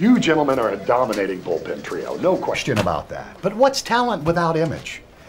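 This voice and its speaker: Noticeable background noise is present. A man is speaking. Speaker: voice actor. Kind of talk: TV commercial read. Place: office.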